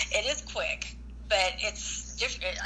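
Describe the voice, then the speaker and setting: Noticeable background noise runs through the clip. A woman speaks fairly slowly. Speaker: caller. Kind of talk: casual call-in chat.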